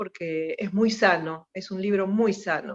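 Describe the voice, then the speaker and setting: Her pace is very slow. The woman's voice sits at a medium pitch. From Buenos Aires, Argentina (Mataderos). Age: 60s. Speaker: politician and journalist. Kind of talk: radio interview.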